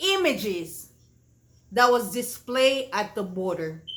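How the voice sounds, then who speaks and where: Bright and sharp in tone, a woman speaks at a high pitch with a Haitian accent. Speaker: online show host. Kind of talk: political commentary monologue. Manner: impassioned.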